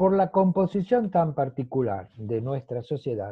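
A man is speaking. The background is quiet. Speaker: guest. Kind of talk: conversational talk. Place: home room. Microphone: video call.

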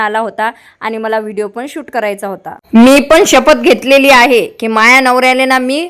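The intonation stays fairly even as the woman talks. Her recording is very clean, its background silent. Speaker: family vlogger. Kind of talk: casual vlog talk to camera. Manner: loud.

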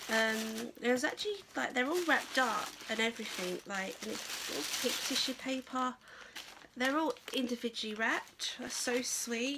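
A woman's fairly high, bright and sharp voice at a fairly slow pace, with ordinary pitch variation

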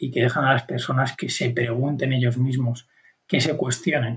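It moves along at a moderate pace. This is a plain, everyday voice. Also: man. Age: 20s. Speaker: podcast co-host. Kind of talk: casual conversation.

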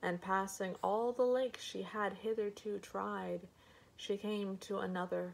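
Everything here is plain reading aloud.

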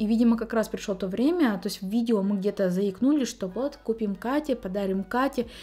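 A woman talks at a fairly quick pace with a fairly high pitch and a dark, mellow tone. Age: 20s. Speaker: beauty vlogger. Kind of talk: vlog Q&A monologue. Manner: casual, chatty. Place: home room.

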